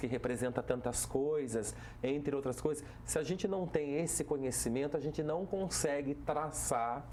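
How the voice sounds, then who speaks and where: A man with a Vale do Paraíba accent talks at a fairly slow pace, his medium pitch showing ordinary variation. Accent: caipira Taubaté accent, criticized for it. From Brazil, Taubaté (São Paulo interior). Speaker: municipal culture and tourism secretary. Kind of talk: TV talk show interview. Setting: TV studio.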